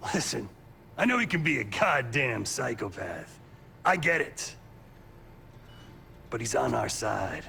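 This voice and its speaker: Using a put-on character voice, a man speaks raspily at a fairly slow pace over clear background noise. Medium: video game. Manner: gruff, blunt.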